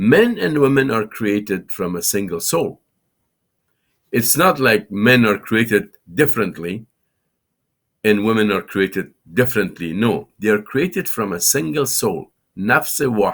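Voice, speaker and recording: Over a silent background in a very clean recording, a man with an Afghan accent speaks fairly slowly at a medium pitch, his intonation lively. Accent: Afghan Dari accent in English. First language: Farsi. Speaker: Islamic scholar and TV show host. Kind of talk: lecture. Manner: halting.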